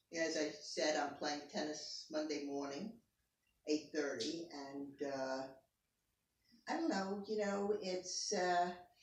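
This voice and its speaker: Audible room echo surrounds a very slow delivery with ordinary pitch variation. Long, frequent pauses break up the speech. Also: woman, very deep, low pitch for a woman. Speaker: interviewee, parent of the interviewer. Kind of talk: family interview.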